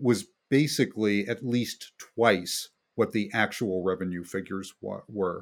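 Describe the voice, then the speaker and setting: In a very clean recording with a silent background, a man talks at a fairly slow pace. He has an ordinary speaking voice, fairly low in pitch, with ordinary pitch variation. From West Virginia. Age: 60s. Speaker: economic researcher. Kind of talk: interview.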